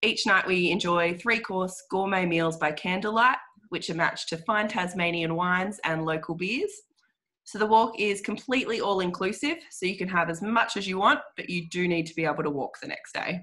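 Heard over a quiet background, the voice has an Australian accent and a bright, sharp tone. The pace is moderate, with ordinary pitch variation. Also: woman, medium pitch for a woman. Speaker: guided walk tour representative. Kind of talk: webinar presentation. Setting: video call. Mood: warm, promotional. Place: home room. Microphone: video call.

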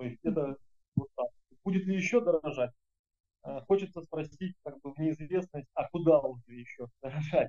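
Over a quiet background, a man with a dark, mellow tone talks at a moderate pace, leaving long, frequent pauses, with big swings in loudness and ordinary pitch variation. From Kuban, southern Russia. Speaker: agricultural parts business owner; interviewee. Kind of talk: interview. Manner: halting, many fillers. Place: office. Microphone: video call.

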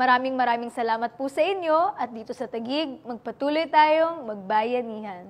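Pitched high, a woman speaks with lively intonation. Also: moderate pace. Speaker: bulletin host. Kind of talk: news bulletin presenting. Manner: formal, polite. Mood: friendly, upbeat.

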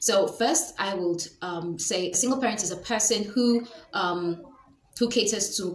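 A woman speaks at a medium pitch and fairly slow pace in a Nigerian accent, with ordinary pitch variation. Light background noise and audible room echo are present. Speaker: lifestyle vlogger. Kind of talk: educational talk to camera. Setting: home video recording. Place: home room. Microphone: webcam.

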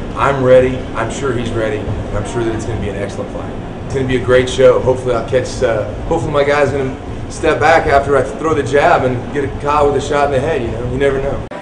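A man talks at a very fast pace with hardly any pauses, a medium pitch, and fairly even intonation, over noticeable background noise. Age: 30s. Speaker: kickboxer. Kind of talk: pre-fight interview.

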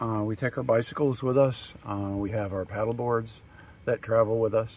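A man talks at a moderate pace in a somewhat breathy voice. The sound is dry with no echo. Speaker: interviewee. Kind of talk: interview answer. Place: open country. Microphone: camera far.

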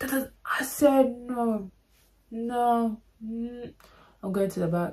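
With an animated tone and ordinary pitch variation, a woman speaks in a London accent. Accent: Multicultural London English. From London, England. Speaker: YouTuber. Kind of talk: storytime monologue. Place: home room. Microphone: phone near.

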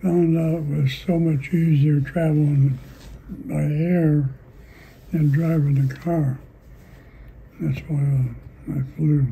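A man speaks at a very slow pace with long, frequent pauses, his fairly high, somewhat breathy voice dark and mellow in tone. His intonation is monotone and flat, and his loudness stays very even. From Indiana. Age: 80s+. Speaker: retired race driver and pilot. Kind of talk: interview answer. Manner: terse.

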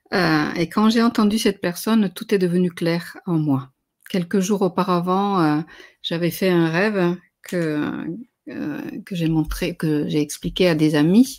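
Speaking at a very slow pace, a woman uses a fairly low pitch. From Spain, Spanish father and French mother. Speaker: spiritual teacher; conference speaker. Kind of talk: lecture. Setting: livestream. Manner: halting. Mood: calm, reflective. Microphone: webcam.

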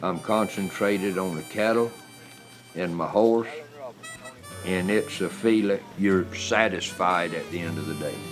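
Music plays in the background while a man speaks in a very deep, low voice at a fairly slow pace. Long, frequent pauses break up his fairly even intonation. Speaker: cattle worker. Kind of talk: interview answer.

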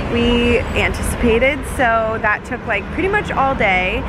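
Loud background noise sits behind a woman with ordinary pitch variation. The sound is dry, with no echo. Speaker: travel vlogger. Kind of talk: casual vlog chat. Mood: frustrated but upbeat. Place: street. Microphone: phone near.

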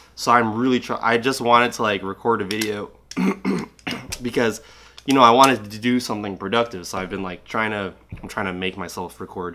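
Over noticeable background noise, a man talks at a fairly quick pace. His intonation is fairly even, but his loudness swings widely. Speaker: product reviewer. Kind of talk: casual product review vlog. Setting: at home. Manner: casual, filler-heavy.

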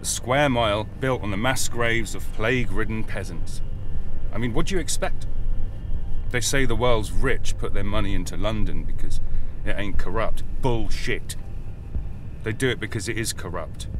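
Over faint music, a man talks at a moderate pace with long, frequent pauses in a dry sound with no echo. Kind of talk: dramatic monologue. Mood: angry, contemptuous rant. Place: car.

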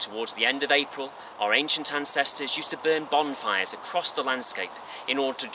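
Over noticeable background noise, a man talks at a fairly quick pace with a dry sound and no echo. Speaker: presenter. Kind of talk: documentary narration. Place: forest.

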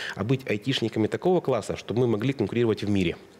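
A man talks with lively intonation at a medium pitch. It is a normal speaking voice. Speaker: IT business owner. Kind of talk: interview conversation.

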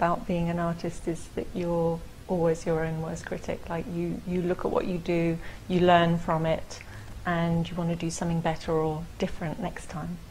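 A woman speaks in a London accent at a moderate pace, her fairly low voice monotone and flat against light background noise. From England (London). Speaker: printmaker and art gallery manager. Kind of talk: interview answer. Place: studio.

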